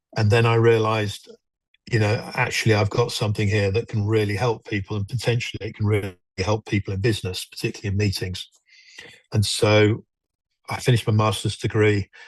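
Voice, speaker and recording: A man speaks at a fairly quick pace with a fairly low pitch and a somewhat breathy sound. His intonation is monotone and flat, over a quiet background. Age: 60s. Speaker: mental health charity walker. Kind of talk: interview. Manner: halting.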